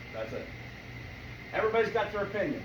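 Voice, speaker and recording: Audible room echo and noticeable background noise around a man's voice. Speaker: business networking presenter. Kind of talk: presentation to a live meeting.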